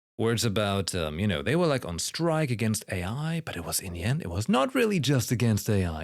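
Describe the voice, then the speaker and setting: In a very clean recording with a silent background, a man with a German accent talks at a fairly quick pace, his fairly low voice making very wide pitch swings. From Germany. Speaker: streamer reacting to a game livestream. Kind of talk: casual livestream commentary. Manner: halting, with many fillers.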